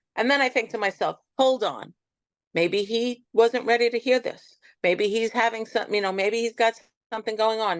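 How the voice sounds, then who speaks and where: Against a quiet background, with a dry, close sound and no echo, a woman talks at a moderate pace with fairly even intonation and a fairly high pitch, in an unremarkable speaking voice. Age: 60s. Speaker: interview guest, cancer survivor. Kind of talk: interview conversation.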